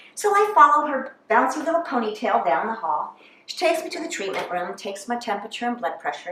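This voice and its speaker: A woman talks at a very fast pace in a high pitch, her voice swinging very widely up and down and jumping sharply in loudness. Noticeable noise sits in the background. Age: 60s. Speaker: comedian. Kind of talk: stand-up.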